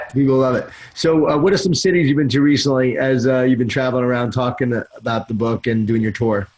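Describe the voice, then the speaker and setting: An American-accented man talks at a very fast pace with hardly any pauses, a medium pitch, ordinary pitch variation and very even loudness, over noticeable background noise. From Long Island, New York. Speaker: podcast host. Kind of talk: podcast interview.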